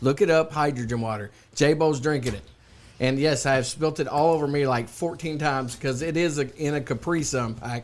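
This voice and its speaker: With a Kentucky accent, a man speaks fairly quickly at a fairly high pitch. His tone is animated, with ordinary pitch variation. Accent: Kentucky Southern US. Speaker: podcast co-host. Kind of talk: casual chat. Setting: studio.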